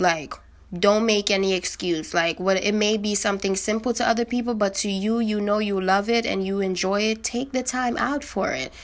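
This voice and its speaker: A woman with a medium pitch and a normal speaking voice. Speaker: podcaster. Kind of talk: casual solo monologue. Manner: informal, conversational, reflective; upbeat, encouraging.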